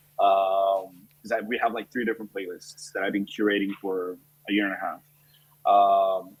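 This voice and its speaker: With a Spanish accent, a man speaks at a fairly low pitch with fairly even intonation. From Colombia. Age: 30s. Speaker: chef and restaurant owner. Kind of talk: interview.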